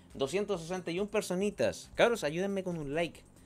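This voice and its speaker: A man speaks with a Chilean accent. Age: 30s. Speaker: tech streamer. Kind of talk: live stream chat. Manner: animated. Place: home room. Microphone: studio mic.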